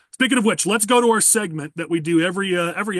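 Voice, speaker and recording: A man speaks at a very fast pace with an American accent, his pitch high and its variation ordinary, in a dry, close sound with no echo. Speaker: podcast host. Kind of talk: political podcast discussion.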